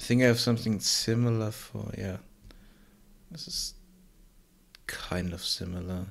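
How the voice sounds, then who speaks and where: In a very clean recording with a silent background, a man speaks at a fairly low pitch with ordinary pitch variation and a somewhat breathy sound. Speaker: game developer streamer. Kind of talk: live stream tutorial chat. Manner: mumbling at times; halting, filler-heavy.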